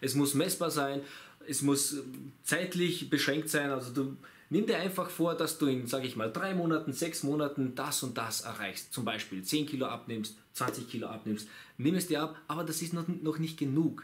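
A man's pitch varies ordinarily as he talks at a moderate pace. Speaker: fitness coach. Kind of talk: casual vlog chat. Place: shop.

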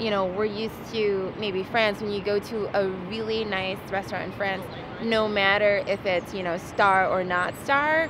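Noticeable background noise sits behind a woman speaking at a moderate pace. Her intonation is fairly even, and the sound is dry with no echo. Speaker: vlog co-host. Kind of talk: casual restaurant review chat. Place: street. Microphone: phone near.

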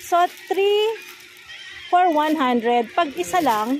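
A woman speaks slowly in a high voice with lively intonation. Faint background noise sits under her.

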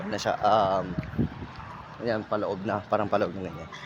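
Noticeable noise hums behind a man who talks at a moderate speed. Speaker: barefoot runner vlogger. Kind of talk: casual vlog narration while running. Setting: outdoors, along the highway. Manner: halting, stammering.

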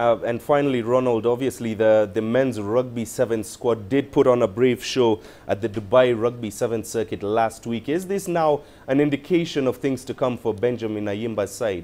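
With a dark, mellow tone, a man talks at a moderate pace and ordinary pitch variation. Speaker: sports news presenter. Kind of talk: news reading. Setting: studio. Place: studio. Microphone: lapel.

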